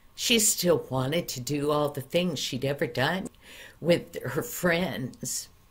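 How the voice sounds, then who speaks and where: A woman's very deep, low-pitched, somewhat breathy voice at a very slow pace. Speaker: storyteller. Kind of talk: storytelling. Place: home room. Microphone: webcam.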